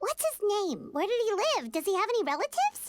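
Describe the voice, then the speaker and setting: A put-on character voice, squeaky and extremely high-pitched, rattles along at a very fast pace. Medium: video game.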